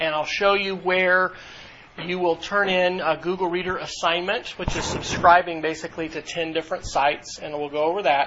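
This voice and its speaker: The voice moves at a moderate pace with monotone, flat intonation. Noticeable background noise is present. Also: man, high pitch for a man. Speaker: university instructor. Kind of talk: lecture. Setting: classroom.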